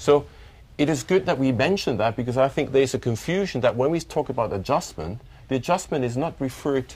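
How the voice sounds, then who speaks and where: A man speaks with lively intonation at a fairly quick pace. His medium-pitched voice is somewhat breathy. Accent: non-native. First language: not English. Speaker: chief financial officer. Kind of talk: corporate results briefing.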